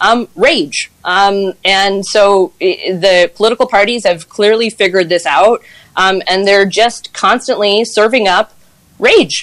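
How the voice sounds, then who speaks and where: A woman's medium-pitched voice at a very slow pace, with ordinary pitch variation and very even loudness. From Quebec, Granby. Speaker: political panelist. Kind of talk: panel discussion.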